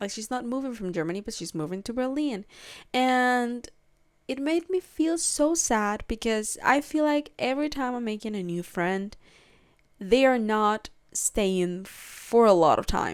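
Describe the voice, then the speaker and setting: A woman with a Spanish accent speaks fairly slowly in a fairly high pitch with lively intonation, on a very clean recording with a silent background. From Peru. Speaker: podcast host. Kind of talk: casual solo podcast chat. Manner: hesitant, many fillers and restarts.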